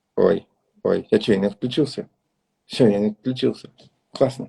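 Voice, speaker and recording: Somewhat breathy and dark, mellow in tone, a man at medium pitch speaks at a fairly quick pace with very wide pitch swings, in a dry, close sound with no echo. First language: Russian. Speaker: dance event organizer and interviewer. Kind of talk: live interview wrap-up. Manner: halting.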